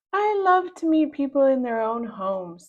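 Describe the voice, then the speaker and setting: A woman does a put-on character voice, high in pitch and swinging very widely, at a moderate pace. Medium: read story. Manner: prying, insinuating.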